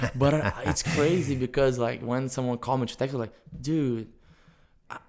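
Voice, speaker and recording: The speaker talks at a moderate pace with a Brazilian accent and ordinary pitch variation. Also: man. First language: Portuguese. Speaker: jiu-jitsu instructor. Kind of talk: casual interview.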